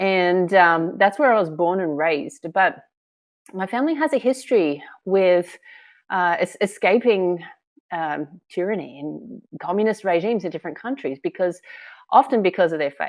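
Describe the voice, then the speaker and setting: At a moderate pace, a woman with an Australian accent speaks with lively intonation against a quiet background. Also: medium pitch for a woman. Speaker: filmmaker and author. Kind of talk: interview.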